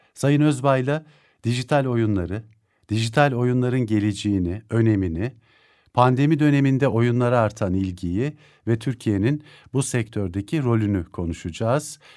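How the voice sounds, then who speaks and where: At a moderate pace, a man talks in a dark, mellow tone with very even loudness. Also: ordinary pitch variation, quiet background. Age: 50s. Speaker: radio host. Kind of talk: radio interview. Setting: radio studio. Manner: formal, polite. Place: studio.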